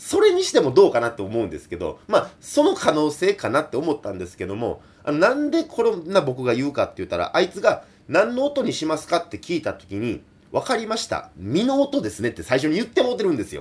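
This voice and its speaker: Very rapid speech from a man, his loudness swinging widely. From Kansai. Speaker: folk singer. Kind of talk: solo radio talk. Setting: remote recording.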